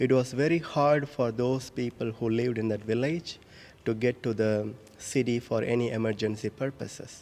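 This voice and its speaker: A man speaks with an Indian accent at a fairly slow pace. His tone is dark and mellow. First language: Indian language. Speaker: priest. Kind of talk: homily. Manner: halting.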